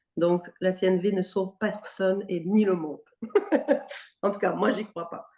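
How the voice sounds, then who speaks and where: A woman speaks at a fairly slow pace with long, frequent pauses. Her tone is dark and mellow, and her pitch sits in the medium range. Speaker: non-violence trainer. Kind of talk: workshop discussion. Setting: video call. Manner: animated.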